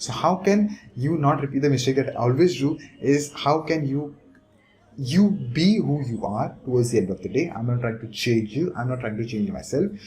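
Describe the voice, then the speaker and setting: The intonation is lively, over a dark, mellow tone. The voice is somewhat breathy. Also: man, fairly high pitch for a man. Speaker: online business coach. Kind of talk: talking-head tutorial. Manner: fast, normally rushes.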